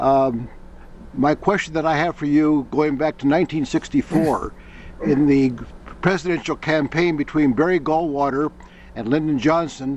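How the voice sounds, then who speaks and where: Using an ordinary speaking voice, a man speaks at a moderate pace with a fairly high pitch and fairly even intonation. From US Midwest, Iowa. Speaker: auditing student. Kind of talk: question to a guest.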